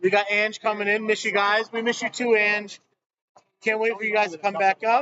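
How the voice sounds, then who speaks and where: Loud and monotone, a man with a high pitch speaks at a moderate pace in flat intonation. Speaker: bowling stream commentator. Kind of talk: live commentary.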